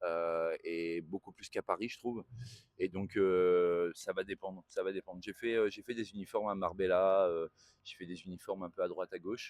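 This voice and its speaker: A man's very deep, low voice at a moderate pace with monotone, flat intonation and a dry, close sound with no echo. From northern France. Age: 40s. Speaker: tailor and entrepreneur. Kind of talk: interview. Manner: hesitant, many fillers.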